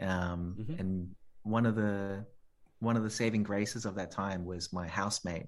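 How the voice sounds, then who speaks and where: A man's fairly low voice in an Australian accent, fairly slow and fairly even in intonation, against a quiet background. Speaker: musician and composer. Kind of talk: casual chat.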